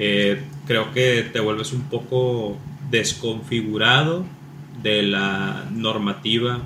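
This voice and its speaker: Someone with a Mexican accent speaks at a very slow pace with long, frequent pauses, amid audible room echo and noticeable background noise. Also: man. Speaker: podcast co-host. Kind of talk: casual chat.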